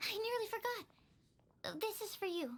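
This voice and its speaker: In a squeaky, put-on character voice, a woman speaks at an extremely high pitch. Her pace is fairly slow and her intonation lively. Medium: game stream. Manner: soft-spoken, earnest.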